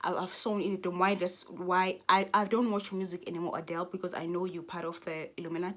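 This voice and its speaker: The speaker has a South African accent. The pace is very fast. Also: woman, medium pitch for a woman. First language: Xhosa. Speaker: YouTuber. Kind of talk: casual vlog rant. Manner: animated; halting.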